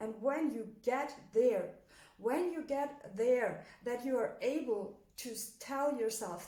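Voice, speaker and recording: A woman speaks with a German accent and ordinary pitch variation. Audible echo fills the room. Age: 20s. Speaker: motivational coach. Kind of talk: motivational talk. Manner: hesitant, many fillers.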